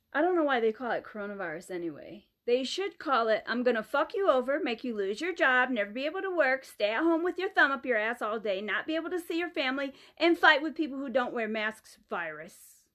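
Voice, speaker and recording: Over a quiet background, a woman with a high voice races along at a very fast pace with hardly any pauses and very wide pitch swings. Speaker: comedian. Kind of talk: comedy monologue to camera. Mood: sarcastic, joking. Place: home room. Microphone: phone near.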